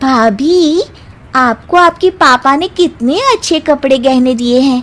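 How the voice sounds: A cartoonish character voice at a very slow pace. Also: woman, high pitch for a woman, ordinary pitch variation.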